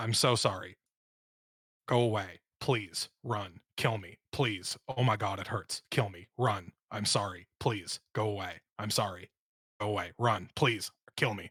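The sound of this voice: Fairly slow and raspy, a man performs a put-on character voice. His pitch sits fairly low.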